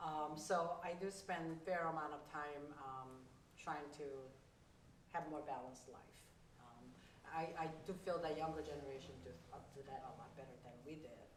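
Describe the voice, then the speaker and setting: Through noticeable background noise and audible room echo, a woman with a very deep, low pitch speaks with long, frequent pauses, big swings in loudness and fairly even intonation. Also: moderate pace. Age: 60s. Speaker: community organizer and activist. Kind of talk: panel discussion. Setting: stage with audience.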